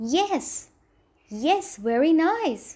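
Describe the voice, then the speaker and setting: A woman's squeaky, put-on character voice, extremely high in pitch, with very wide pitch swings. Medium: read story. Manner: nervous, fussy.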